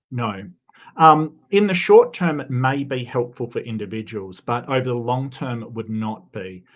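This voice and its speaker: In an Australian accent, a man speaks at a medium pitch and a moderate pace. His intonation is lively, and his loudness swings widely. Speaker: debater, secular humanist. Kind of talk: debate.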